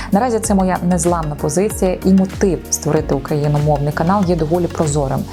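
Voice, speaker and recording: Over background music, a woman with a very deep, low pitch and ordinary pitch variation talks at a fairly quick pace, with very even loudness and hardly any pauses. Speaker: radio host and announcer. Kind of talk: casual talk to camera.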